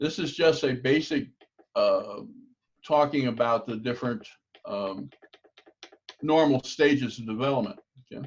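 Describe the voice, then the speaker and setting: A man speaks at a fairly high pitch and a moderate pace, with ordinary pitch variation. Long, frequent pauses break up his speech. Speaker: table tennis coach. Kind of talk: lecture.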